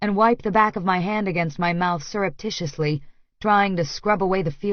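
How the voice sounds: A natural reading voice is what comes through here.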